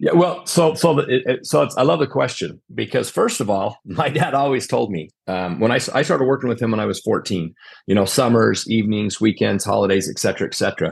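Over a quiet background, a man with an American accent talks at a fairly quick pace with hardly any pauses, vocal fry and very wide pitch swings. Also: medium pitch for a man. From Utah. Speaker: contractor, company owner. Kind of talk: casual interview chat. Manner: conversational, filler-heavy.

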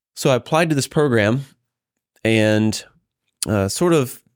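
A man with an American accent speaks at a fairly slow pace. His intonation is lively, and the recording is very clean with a silent background. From US South, Georgia (Carrollton). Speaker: engineering professor. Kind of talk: interview.

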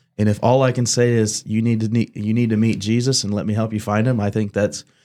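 In a very clean recording with a silent background, a man with a fairly low pitch and a dark, mellow tone speaks at a very fast pace in a monotone, flat intonation. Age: 20s. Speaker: podcast host, pastor's son at a church. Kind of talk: casual faith discussion. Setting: studio.

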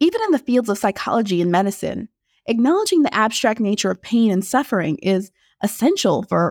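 In a dry, close, very clean recording with a silent background, a woman with a fairly high voice speaks at a fairly quick pace with an animated tone, lively intonation and very even loudness. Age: 20s. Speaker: podcast host. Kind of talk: solo podcast monologue.

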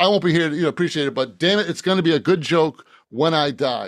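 An animated tone from a man with a fairly high pitch, in a very clean recording with a silent background. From Boston. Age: 60s. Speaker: author. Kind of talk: casual interview. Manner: halting, repeats words.

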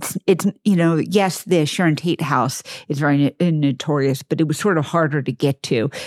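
A woman with an American accent, very deep and low in pitch, with ordinary pitch variation, a fairly quick pace and a dry, close sound with no echo. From suburban Texas. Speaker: podcast co-host. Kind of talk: casual chat. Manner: halting.

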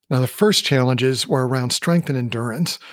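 With an American accent, a man with a fairly high pitch talks in an ordinary speaking voice with lively intonation, recorded very cleanly with a silent background and a dry, close sound with no echo. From US Midwest. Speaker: podcast host and leadership coach. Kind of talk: solo podcast monologue.

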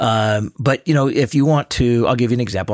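A man with a plain, everyday voice at a medium pitch, lively intonation and a fairly quick pace, in a dry, close sound with no echo. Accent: American. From US Pacific Northwest, Seattle. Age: 50s. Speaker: guest, local food enthusiast. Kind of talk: casual chat.

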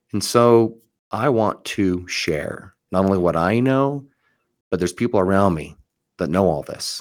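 On a very clean recording with a silent background, a man with an unremarkable speaking voice talks at a fairly low pitch and fairly slow pace, with ordinary pitch variation. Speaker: mortgage loan officer and podcast host. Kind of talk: solo podcast monologue.

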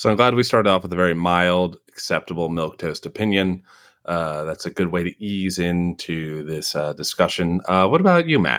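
In a very clean recording with a silent background, a man with a strong Midwestern US accent speaks at a moderate pace in a very deep, low pitch with ordinary pitch variation. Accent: Midwestern US, heavy. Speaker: podcast host. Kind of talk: casual podcast chat.

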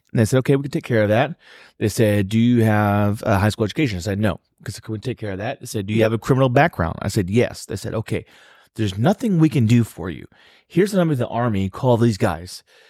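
A man talks very fast at a medium pitch, with ordinary pitch variation and a dark, mellow tone. The recording is very clean and the background silent. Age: 30s. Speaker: podcast co-host, army veteran. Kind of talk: casual chat.

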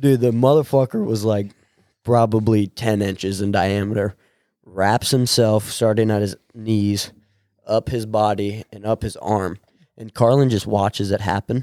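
A man with a Midwestern American accent speaks at a fairly low pitch in a dark, mellow tone. His intonation is fairly even, and the recording is very clean with a silent background. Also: moderate pace, dry, close sound with no echo. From US Midwest, Nebraska. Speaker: podcast host. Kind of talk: casual chat. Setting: home recording with friends.

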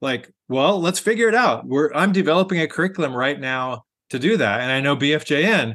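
Lively intonation from a man with a normal speaking voice, at a moderate pace over a quiet background. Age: 50s. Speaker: pastor. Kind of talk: interview.

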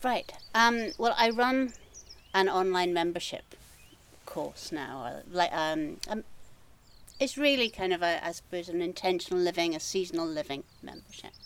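Speaking with a Scottish accent, a woman of medium pitch talks at a moderate pace with lively intonation. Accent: Scottish (Edinburgh area). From Scotland, east coast near Edinburgh. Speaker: gardener and creative coach. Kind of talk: casual interview chat. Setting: outdoors in her garden.

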